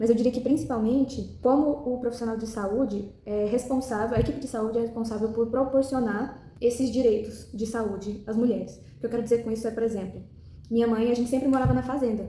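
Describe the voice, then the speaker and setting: A woman's fairly high voice at a fairly quick pace with hardly any pauses. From Brazil, Goiás. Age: 20s. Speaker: medical student. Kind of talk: recorded self-presentation. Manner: hesitant, many fillers.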